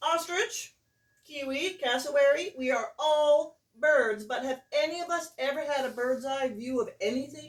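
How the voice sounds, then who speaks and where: A shrill put-on character voice at a moderate pace. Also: woman, high pitch for a woman. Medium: read story. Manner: indignant, boastful.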